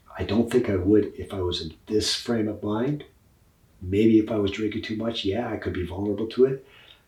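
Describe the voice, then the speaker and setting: Somewhat breathy, a man talks at a fairly quick pace in a fairly low pitch. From Scotland. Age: 60s. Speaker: professional musician. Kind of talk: casual chat. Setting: in person.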